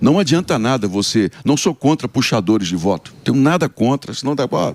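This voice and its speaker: Very wide pitch swings and vocal fry run through a man's medium-pitched voice. The sound is dry and close, with no echo. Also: moderate pace. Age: 60s. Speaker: senator. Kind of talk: radio interview.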